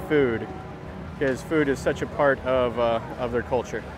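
A man speaks at a fairly slow pace with ordinary pitch variation, his voice dry with no echo and clear music playing behind him. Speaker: travel vlogger. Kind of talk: casual vlog commentary. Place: market. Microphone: phone near.

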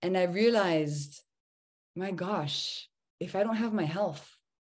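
Fairly even intonation carries over a quiet background. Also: woman. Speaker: remote guest. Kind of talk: interview answer. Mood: earnest, personal story. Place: home room. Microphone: video call.

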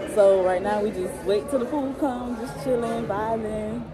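With crowd noise in the background, a woman talks at a moderate pace and with ordinary pitch variation. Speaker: vlogger. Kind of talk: casual vlog chat. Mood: relaxed, cheerful. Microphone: phone near.

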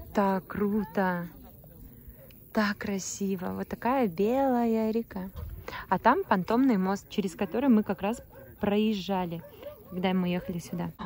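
A woman at a very slow pace with long, frequent pauses, medium pitch and ordinary pitch variation, in a dry sound with no echo and light background noise. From Bashkortostan, Russia (Mishkino district); Bashkortostan, Russia. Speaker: vlogger. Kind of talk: travel vlog narration. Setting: in a car. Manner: animated. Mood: delighted, admiring. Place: open country. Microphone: phone near.

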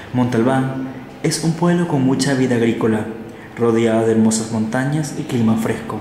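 A man talks at a moderate pace. Audible room echo and light background noise surround his voice. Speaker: radio announcer. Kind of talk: radio documentary narration. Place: studio.

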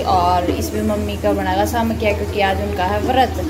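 Loud background noise surrounds a woman as she talks. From Haryana, India. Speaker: home vlogger. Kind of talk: casual home vlog talk to camera. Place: home room. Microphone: phone near.

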